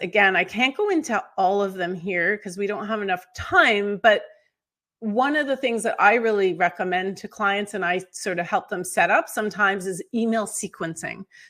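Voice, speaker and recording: A woman with an unremarkable speaking voice, medium pitch, moderate pace and lively intonation. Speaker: onboarding consultant, company founder. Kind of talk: webinar presentation. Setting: video webinar.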